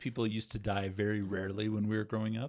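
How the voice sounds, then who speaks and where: With an American accent, a man talks at a fairly quick pace in a fairly low pitch. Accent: non-regional American. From USA. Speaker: podcast co-host. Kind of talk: casual chat. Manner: animated.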